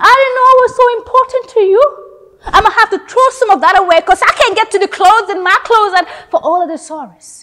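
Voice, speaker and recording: A woman uses a raised, projected voice at an extremely high pitch, with lively intonation. She goes at a fairly quick pace with hardly any pauses. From The Gambia. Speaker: theatre student. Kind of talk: performed dramatic monologue, audition-style, with a bitter, defiant, emotional delivery. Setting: self-recorded audition video. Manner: expressive and intense, shifting from biting anger to wistful, reflective tones. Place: studio.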